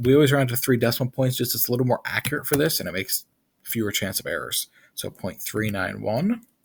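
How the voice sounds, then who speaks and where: A man's medium-pitched, somewhat breathy voice moves through ordinary pitch variation. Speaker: chemistry teacher. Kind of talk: tutorial. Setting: screen recording.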